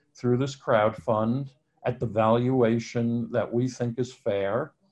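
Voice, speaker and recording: A man speaks at a very slow pace in a medium pitch. His tone is dark and mellow, and his intonation is monotone and flat. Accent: American. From New York. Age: 60s. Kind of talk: interview.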